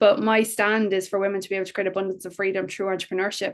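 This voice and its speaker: A woman in an Irish accent, medium in pitch, against a quiet background. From Ireland. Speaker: business coach. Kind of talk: interview. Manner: animated.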